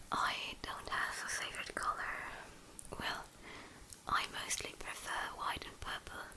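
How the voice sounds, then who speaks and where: Here a woman whispers. She goes at a fairly slow pace. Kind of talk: casual vlog chat.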